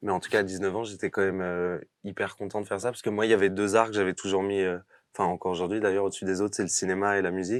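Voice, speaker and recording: The speech comes at a very fast pace in a monotone, flat intonation, over a quiet background. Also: man. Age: 30s. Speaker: actor. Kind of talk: interview. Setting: podcast studio. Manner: hesitant, many fillers; casual.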